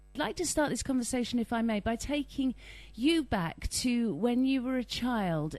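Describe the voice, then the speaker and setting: Against a quiet background, a woman speaks in an unremarkable speaking voice with lively intonation. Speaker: interviewer. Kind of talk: interview question.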